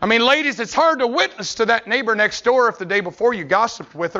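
A man with an American accent speaks at an extremely high pitch and a fairly quick pace. His tone is animated, with ordinary pitch variation. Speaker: pastor. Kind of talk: sermon.

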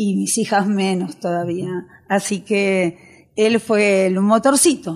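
The recording is very clean, with a silent background. A woman talks very slowly at medium pitch, her pitch varying in an ordinary way. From Argentina, raised from age 7 (born in Galicia, Spain). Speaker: tango fusion singer. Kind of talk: interview chat. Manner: animated.

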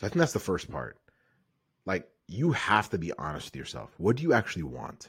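A man with a very deep, low voice and vocal fry talks at a fairly quick pace, yet with long, frequent pauses. His pitch swings very widely and his loudness varies greatly. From Kenya. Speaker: physical therapist and business co-founder. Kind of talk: casual interview. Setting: video call.

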